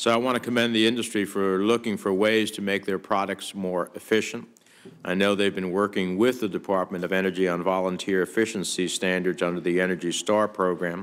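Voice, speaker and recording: Using an ordinary speaking voice, a man with a fairly low pitch talks at a fairly quick pace with fairly even intonation. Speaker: US senator. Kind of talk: Senate committee hearing remarks.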